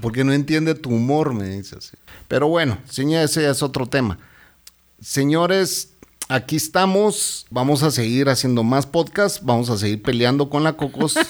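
This man has an ordinary speaking voice with a fairly high pitch and lively intonation. He keeps to a moderate pace. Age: 50s. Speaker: podcast host. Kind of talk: casual chat.

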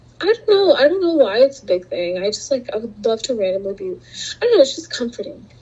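Over noticeable background noise, a woman with a high pitch talks at a very fast pace with very wide pitch swings and hardly any pauses. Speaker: podcast co-host, college student. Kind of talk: casual chat. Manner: animated.

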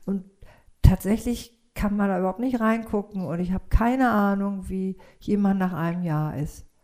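This voice has a dark, mellow tone and ordinary pitch variation. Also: woman, medium pitch for a woman, moderate pace. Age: 60s. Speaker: yoga teacher and psychotherapist. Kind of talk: casual interview chat.

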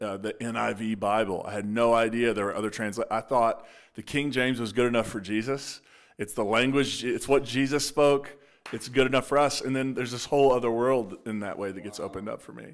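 A man with an unremarkable speaking voice talks in an American accent at medium pitch and a fairly quick pace. His intonation is fairly even, with big swings in loudness, on a very clean recording with a silent background. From Appalachia, Eastern Kentucky / West Virginia border. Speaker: pastor. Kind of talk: casual interview conversation.

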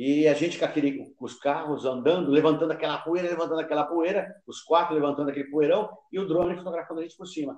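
A man talks very fast, his voice fairly high in pitch. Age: 60s. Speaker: amateur photographer. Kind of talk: interview.

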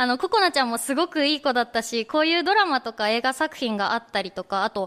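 A woman's high-pitched voice, very fast, with very wide pitch swings and a dry, close sound with no echo. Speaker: radio host. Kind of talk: casual chat. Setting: studio with live audience.

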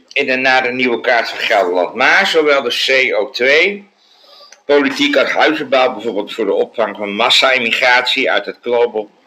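A man with lively intonation talks at a moderate pace, with noticeable background noise behind him. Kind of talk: casual chat. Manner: hesitant, many uh's.

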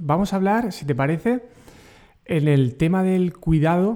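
In a Murcian accent, a man speaks with lively intonation. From Murcia, Spain. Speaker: podcast host, educator. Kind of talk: interview.

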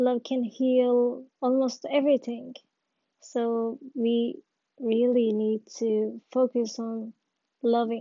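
Very slow, high-pitched speech from a woman with a non-native accent, monotone and flat in intonation. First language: not English. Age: 20s. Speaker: podcaster. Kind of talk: personal monologue. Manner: halting.

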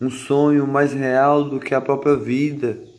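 Very slowly, a man speaks at a fairly high pitch. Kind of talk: spoken word monologue. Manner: repetitive, rhythmic.

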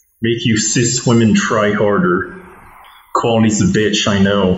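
A man is speaking amid noticeable background noise. Audible room echo colors the recording. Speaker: comedy podcast host. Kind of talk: casual chat. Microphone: faulty cables, poor sound quality.

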